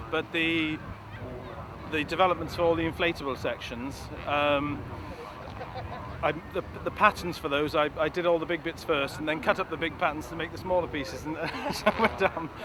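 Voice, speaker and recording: A man with a Welsh accent and a fairly high pitch talks at a fairly quick pace with long, frequent pauses over noticeable background noise. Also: fairly even intonation. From Wales. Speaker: kite designer and flyer. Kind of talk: interview. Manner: halting, with many repeated words.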